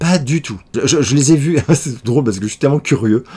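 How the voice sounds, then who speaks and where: Lively intonation marks this man's speech, delivered at a moderate pace and a medium pitch. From France, Paris. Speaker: YouTuber answering viewer questions. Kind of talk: casual Q&A vlog. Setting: home office. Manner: hesitant with many fillers.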